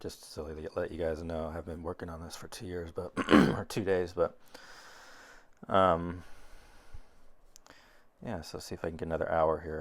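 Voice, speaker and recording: A man with a very deep, low pitch speaks at a moderate pace with fairly even intonation. His loudness swings widely, and he takes long, frequent pauses. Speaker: art teacher. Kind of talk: painting tutorial narration. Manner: mumbling at times.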